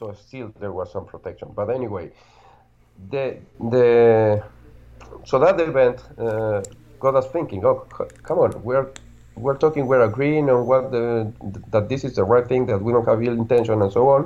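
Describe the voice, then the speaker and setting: Speaking at a moderate pace with a Spanish accent, a man with a dark, mellow tone and ordinary pitch variation shows big swings in loudness. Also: medium pitch for a man. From Argentina. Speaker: security researcher, tech executive. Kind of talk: interview.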